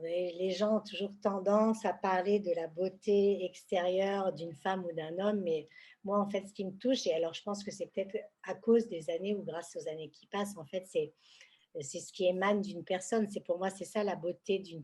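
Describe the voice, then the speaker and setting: A woman with a medium pitch and a dark, mellow tone speaks with big swings in loudness. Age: 60s. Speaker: senior fashion model. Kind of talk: interview. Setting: podcast recording.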